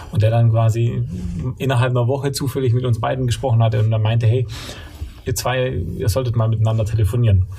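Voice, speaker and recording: A man talks very fast at a medium pitch with ordinary pitch variation over noticeable background noise. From Allgäu, southern Germany. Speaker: company co-founder. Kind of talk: interview. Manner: hesitant, many filler sounds.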